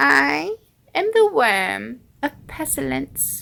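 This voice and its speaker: In a put-on character voice, a female-sounding speaker talks at a very slow pace. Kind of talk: read story. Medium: read story.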